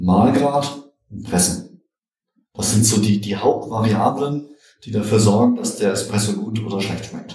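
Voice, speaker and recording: A man at a fairly slow pace with fairly low pitch, ordinary pitch variation, long, frequent pauses and audible room echo. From Germany, Göttingen. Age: 50s. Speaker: computer scientist and espresso enthusiast. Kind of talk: casual chat. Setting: studio.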